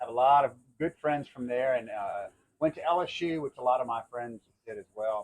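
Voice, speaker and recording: In a Louisiana accent, a man speaks at a medium pitch and a moderate pace with ordinary pitch variation. The sound is dry and close, with no echo. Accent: Louisiana Southern. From Lafayette, Louisiana, Cajun country. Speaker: town mayor and business owner. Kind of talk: casual interview. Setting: outdoors on a dock.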